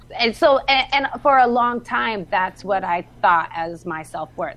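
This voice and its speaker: A woman's voice at a moderate pace, with lively intonation. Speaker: podcaster. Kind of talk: casual chat. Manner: loud.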